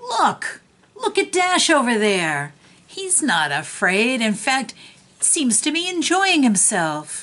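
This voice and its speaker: A woman uses a put-on character voice at a high pitch. Her pitch swings very widely, and her pace is fairly slow. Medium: read story.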